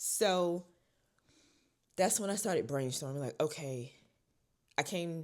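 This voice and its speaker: The delivery is animated, with lively intonation at a moderate pace. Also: woman. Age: 20s. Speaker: vlogger. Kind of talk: casual chat.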